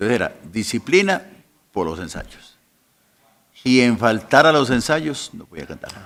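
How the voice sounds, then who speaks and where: At a fairly slow pace with long, frequent pauses, a man's voice shows vocal fry, very wide pitch swings and big swings in loudness. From Colombia. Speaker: pastor. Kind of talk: interview. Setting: podcast recording.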